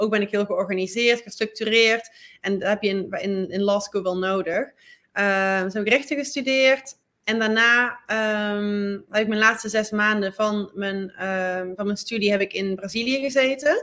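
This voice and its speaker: A woman's fairly high, bright, sharp voice at a fairly slow pace with fairly even intonation, on a very clean recording with a silent background. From Netherlands. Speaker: sports lawyer. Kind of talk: interview. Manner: halting, frequent fillers and repeats.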